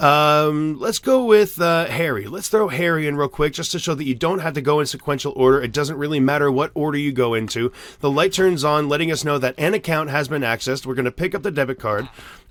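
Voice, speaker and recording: A man with a fairly high pitch races along at a very fast pace, varying his pitch in an ordinary way. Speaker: Minecraft YouTuber. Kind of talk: tutorial. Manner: animated.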